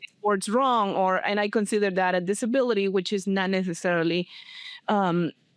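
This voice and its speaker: Fairly even in intonation, the speech goes at a fairly quick clip. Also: woman, medium pitch for a woman. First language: not English. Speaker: podcast host. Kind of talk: interview. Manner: halting.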